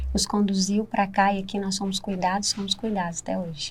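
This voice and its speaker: On a very clean recording with a silent background, a woman speaks in a medium pitch, somewhat breathy, with fairly even intonation. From Minas Gerais, Brazil. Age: 30s. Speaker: church member sharing testimony. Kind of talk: podcast interview testimony.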